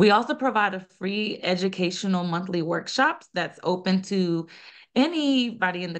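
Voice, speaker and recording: A woman with an American accent talks at a moderate pace against a quiet background. She has a plain, everyday voice. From US South, small-town North Carolina, Colombian family. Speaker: nonprofit founder and director. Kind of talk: podcast interview.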